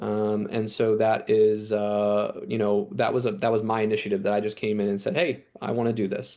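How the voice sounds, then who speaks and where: Against a quiet background, a man speaks at medium pitch in a dark, mellow tone with monotone, flat intonation. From New Jersey. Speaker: chief medical resident. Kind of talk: program presentation. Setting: video call from his office. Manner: fast.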